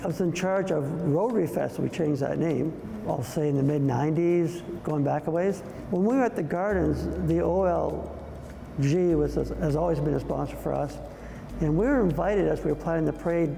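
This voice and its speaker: With very even loudness, a man speaks amid noticeable background noise and audible room echo. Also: moderate pace. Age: 60s. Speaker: community volunteer and business owner. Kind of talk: interview reminiscence. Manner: casual, conversational with some hesitations.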